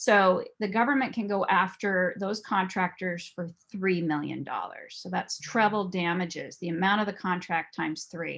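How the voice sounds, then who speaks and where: A woman uses a plain, everyday voice at medium pitch, with ordinary pitch variation and a moderate pace. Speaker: private investigator and fraud examiner. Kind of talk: presentation.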